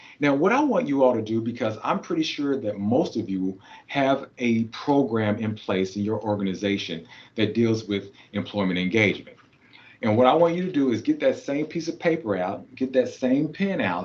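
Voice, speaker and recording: The voice carries a Kentucky accent at a moderate pace. Its intonation is lively. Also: man, medium pitch for a man. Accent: Kentucky Southern US. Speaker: keynote speaker and trainer. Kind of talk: conference presentation. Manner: animated, rhetorical.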